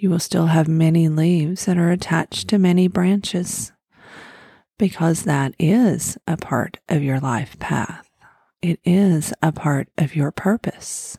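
In an American accent, a woman speaks at a fairly slow pace with a fairly low pitch, ordinary pitch variation and a somewhat breathy, dark, mellow tone that is gentle and soothing. The sound is dry and close with no echo. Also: very even loudness. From Oklahoma, US. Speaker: podcast host, spiritual guide. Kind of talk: guided meditation (fall imagery, letting go). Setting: recorded podcast. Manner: slow, soothing, calm; gentle, repetitive, hypnotic pacing.

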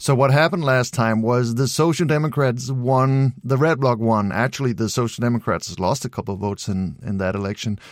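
With a Danish accent, a man at medium pitch talks at a fairly quick pace with hardly any pauses. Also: ordinary pitch variation. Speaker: political commentator. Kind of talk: interview.

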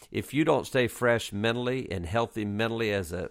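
Recorded very cleanly against a silent background, a man with a Southern US accent talks at a medium pitch and a moderate pace with ordinary pitch variation. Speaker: podcast host and former college basketball coach. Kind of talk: casual interview chat.

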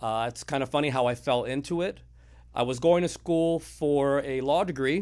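A man's unremarkable speaking voice with an American accent, fairly high in pitch, with ordinary pitch variation and a moderate pace, on a very clean recording with a silent background. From Miami, Florida. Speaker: title company owner. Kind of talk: casual interview.

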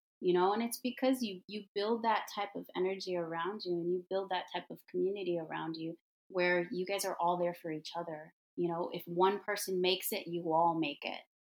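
A woman with an American accent speaks fairly quickly in an unremarkable speaking voice at medium pitch, her intonation fairly even. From US Midwest, Detroit. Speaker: hair and makeup artist, entrepreneur. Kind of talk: casual interview.

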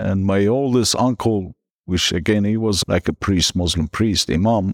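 In a very clean recording with a silent background, a man with a Persian accent speaks at a moderate pace and ordinary pitch variation. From northern Iran. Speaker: guest sharing conversion story. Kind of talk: interview telling personal testimony.

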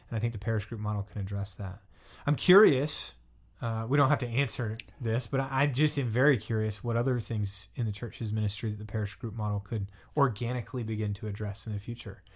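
A man with an American accent speaks at a very fast pace, medium in pitch and somewhat breathy. His intonation stays fairly even, and the recording is very clean with a silent background. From US South. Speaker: assistant pastor, podcast host. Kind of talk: casual interview.

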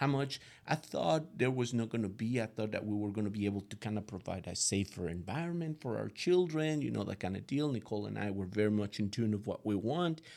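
In a Latin American accent, a man with a fairly low pitch talks at a very fast pace with lively intonation and hardly any pauses. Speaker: guest parent. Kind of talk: conversational interview, giving parenting advice. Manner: thoughtful, slightly hesitant.

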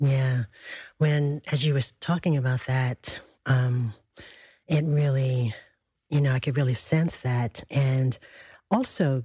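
A woman with a very deep, low pitch and a dark, mellow tone sounds somewhat breathy. She speaks at a fairly slow pace with long, frequent pauses on a very clean recording with a silent background. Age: 60s. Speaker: radio host. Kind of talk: radio interview.

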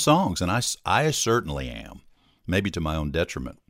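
Recorded very cleanly against a silent background, a man talks at a moderate pace with a Southern US accent. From US South, Hattiesburg, Mississippi. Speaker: musician. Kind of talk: casual interview. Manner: chatty.

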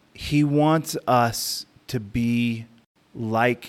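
The recording is very clean with a silent background. A man with an American accent speaks with ordinary pitch variation. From US. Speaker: missionary pastor. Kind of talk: interview. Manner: halting, frequent repetitions.

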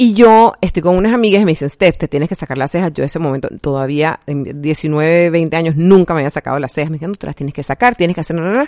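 A woman with a dark, mellow tone and a fairly low pitch with ordinary variation speaks very fast with hardly any pauses, on a very clean recording with a silent background and a dry, close sound with no echo. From Panama. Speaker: health coach and podcast host. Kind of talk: personal faith testimony monologue. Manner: casual, many fillers.

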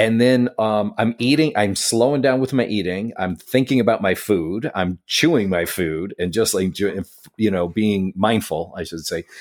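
An unremarkable speaking voice from a man with an American accent, fairly low in pitch with ordinary variation, runs at a moderate pace with hardly any pauses in a very clean recording over a silent background. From upstate New York (Syracuse). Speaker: podcast co-host and coach. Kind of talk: casual chat.

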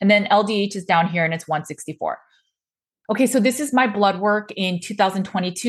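A somewhat breathy woman's voice at medium pitch against a quiet background. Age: 40s. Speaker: nutrition practitioner and podcast host. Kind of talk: solo explainer monologue.

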